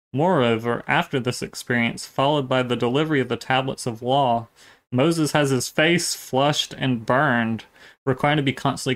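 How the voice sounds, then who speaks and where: A man with a plain, everyday voice speaks at a medium pitch and a fairly quick pace, with fairly even intonation, on a very clean recording with a silent background. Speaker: online video channel host. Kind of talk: casual commentary and reaction.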